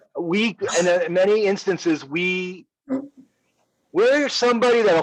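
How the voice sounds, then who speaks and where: A loud, high-pitched man's voice with lively intonation. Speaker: business owner discussing company technology. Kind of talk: casual business discussion.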